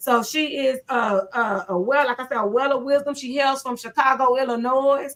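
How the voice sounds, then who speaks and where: Loud and animated, a woman with an American accent talks at a moderate pace and a high pitch against noticeable background noise. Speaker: pastor. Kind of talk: casual chat.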